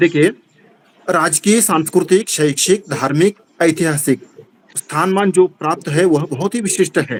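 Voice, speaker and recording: In a Kannada accent, a man speaks at a high pitch with ordinary pitch variation. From Karnataka, India. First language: Kannada (speaking Hindi). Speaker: Hindi teacher / literary club speaker. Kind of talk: speech at literary meeting (video call). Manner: halting, with fillers.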